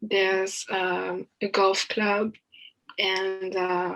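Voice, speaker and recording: A woman with a French accent speaks with monotone, flat intonation. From France. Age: 20s. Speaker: college student. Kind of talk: podcast interview. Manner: hesitant, many fillers.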